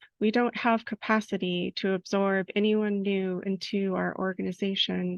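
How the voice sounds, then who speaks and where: A woman speaks at a medium pitch and moderate pace in a monotone, flat intonation. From Southern California. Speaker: poet. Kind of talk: poetry reading.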